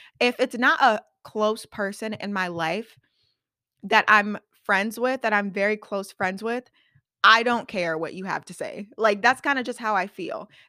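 The voice sounds animated, with a bright, sharp tone, ordinary pitch variation and big swings in loudness. The recording is very clean and silent in the background, dry and close with no echo. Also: woman. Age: 20s. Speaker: podcast host. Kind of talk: casual solo chat.

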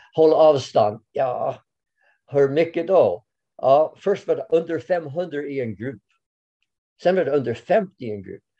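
Speaking very slowly with an English accent, a man with a fairly high pitch and a dark, mellow tone uses ordinary pitch variation, big swings in loudness, and long, frequent pauses. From Canada. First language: English (speaking Swedish). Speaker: orienteering coach. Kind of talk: interview. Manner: halting, many fillers.

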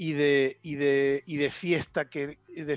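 A man is heard in a dry, close sound with no echo. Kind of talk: casual chat. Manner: halting.

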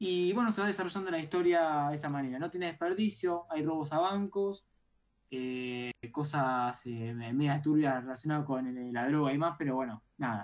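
A woman's very deep, low voice with lively intonation. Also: moderate pace. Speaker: radio co-host, tech and gaming segment. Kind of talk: live radio show.

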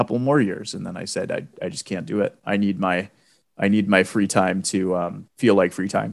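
An unremarkable speaking voice from a man, fairly low in pitch, fairly quick and fairly even in intonation, on a very clean recording with a silent background. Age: 20s. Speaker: high school English and theater teacher. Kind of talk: casual chat.

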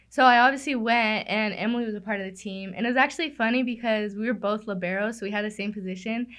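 Against a quiet background, a woman races along at a very fast pace with hardly any pauses, her pitch fairly high and her intonation fairly even, while her loudness swings widely. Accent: American. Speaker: gym front desk worker. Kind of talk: casual chat.

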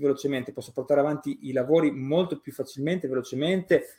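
This man's fairly high pitch holds fairly even intonation. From Romagna, Italy. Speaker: graphic designer and illustrator. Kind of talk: casual interview. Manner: hesitant, many fillers.

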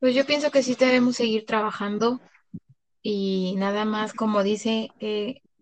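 The voice is a plain, everyday voice with fairly even intonation. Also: woman, fairly high pitch for a woman, fairly slow pace. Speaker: kindergarten teacher. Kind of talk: casual chat.

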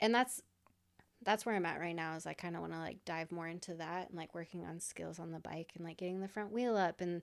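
A woman with an American accent, fairly low in pitch, at a very fast pace. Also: big swings in loudness, very clean recording, silent background. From Iowa. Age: 30s. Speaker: motorcycle racer and graphic designer. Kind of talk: casual chat.

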